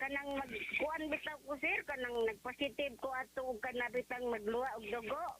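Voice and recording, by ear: A high-pitched woman's voice, bright and sharp, at a fairly quick pace with fairly even intonation.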